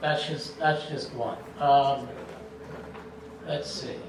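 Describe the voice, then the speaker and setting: A man speaking at a fairly slow pace, with audible room echo and noticeable background noise. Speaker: town councilman. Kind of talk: candidate forum speech. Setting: public forum with audience.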